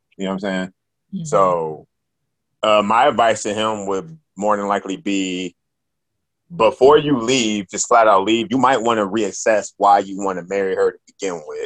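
In a quiet background, a man with a fairly low pitch talks at a moderate pace in an ordinary speaking voice, with ordinary pitch variation. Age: 30s. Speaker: rapper and comedian. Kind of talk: casual chat.

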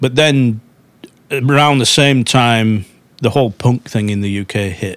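The man speaks at a fairly slow pace, his intonation fairly even. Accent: Lancashire. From northwest England, Darwen near Manchester. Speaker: musician and songwriter. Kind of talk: podcast interview.

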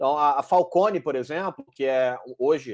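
With lively intonation, a man talks at a moderate pace in a dry, close sound with no echo. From Brazil, Salvador (Bahia). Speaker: entrepreneur and podcaster. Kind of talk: casual interview chat.

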